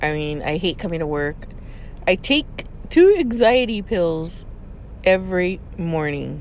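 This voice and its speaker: Lively intonation runs through this woman's fairly low-pitched voice. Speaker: podcast host venting about work. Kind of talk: angry rant about boss. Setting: in a parked car. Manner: frustrated, stressed, venting; repetitive, halting, with fillers.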